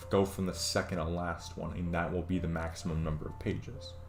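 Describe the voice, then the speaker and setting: With music in the background and audible room echo, a man talks at a moderate pace in a very deep, low pitch. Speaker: programming tutorial streamer. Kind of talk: tutorial. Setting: live stream. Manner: hesitant, many fillers.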